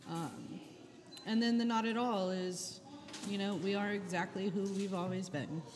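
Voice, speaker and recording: With noticeable background noise and audible room echo, a woman speaks in an American accent at a medium pitch. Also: ordinary pitch variation, moderate pace. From Charleston, South Carolina. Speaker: pastry chef and restaurant owner. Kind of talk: interview.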